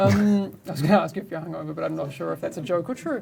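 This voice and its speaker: A woman's speech comes with noticeable background noise around it. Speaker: game community host. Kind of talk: live stream discussion. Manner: fast.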